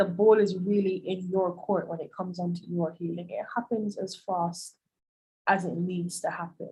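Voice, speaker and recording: Speaking at a fairly slow pace, a woman uses a monotone, flat intonation and a somewhat breathy voice at medium pitch. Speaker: life coach. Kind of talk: presentation and Q&A. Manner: calm, measured.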